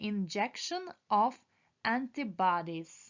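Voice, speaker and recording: A woman's pitch swings very widely. She speaks at a very slow pace. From Ukraine. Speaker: esthetician student. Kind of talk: exam study review read aloud.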